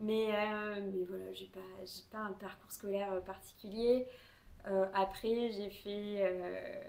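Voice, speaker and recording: Over noticeable background noise, a woman talks at a medium pitch at a very slow pace, her intonation monotone and flat while her loudness swings widely. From southwest France (Tarbes, near the Pyrenees). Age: 20s. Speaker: knitting podcaster. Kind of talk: casual chat. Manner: many hesitations (euh).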